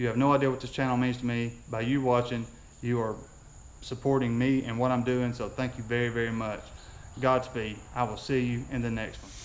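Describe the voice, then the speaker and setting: Through audible room echo, a man talks at a fairly quick pace and medium pitch with monotone, flat intonation. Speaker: YouTuber on drag racing. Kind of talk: casual vlog outro with promotions. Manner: fast.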